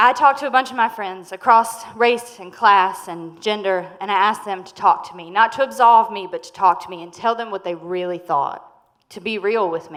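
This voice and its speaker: Here a woman with a Southern US accent talks at a fairly quick pace with ordinary pitch variation. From North Carolina, near the Virginia border (Henderson). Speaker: food business owner and storyteller. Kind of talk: live storytelling performance. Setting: stage with audience.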